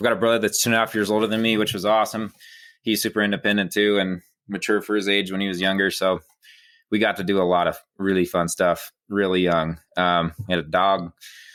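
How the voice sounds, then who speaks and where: Monotone, flat speech at a fairly quick pace in a very clean recording with a silent background. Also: man. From central Wyoming, US. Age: 20s. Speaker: wilderness guide and carpenter. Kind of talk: podcast interview. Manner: casual, with many fillers.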